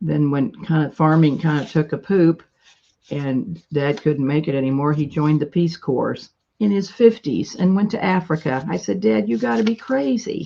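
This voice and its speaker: A loud woman's voice with an American accent, a very deep, low pitch, a dark, mellow tone, very wide pitch swings and a moderate pace. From US Midwest, rural west-central Illinois. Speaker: live-stream seller of vintage paper crafts. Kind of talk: casual live-stream chat. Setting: at home, live stream at table. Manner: chatty, talkative.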